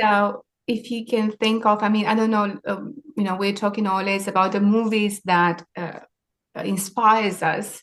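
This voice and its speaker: With a Romanian accent, a woman speaks at a medium pitch and a moderate pace. Her intonation is monotone and flat. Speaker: maritime sustainability leader. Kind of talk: interview.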